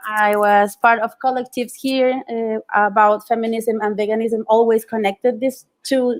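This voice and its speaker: A woman speaks with a fairly high pitch. The recording is very clean, with a silent background. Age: 30s. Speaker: punk musician and restaurant owner. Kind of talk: panel discussion. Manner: slow; halting.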